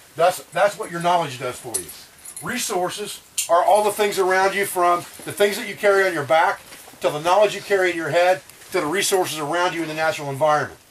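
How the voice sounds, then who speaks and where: Speaking very fast in a high voice, a man shows ordinary pitch variation and big swings in loudness against noticeable background noise. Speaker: survival instructor. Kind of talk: lecture.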